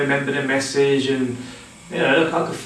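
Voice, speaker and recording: With audible room echo and noticeable background noise, a man speaks at a fairly high pitch. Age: 40s. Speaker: mental health nurse sharing personal story. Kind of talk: personal testimony. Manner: halting, with repetitions and fillers.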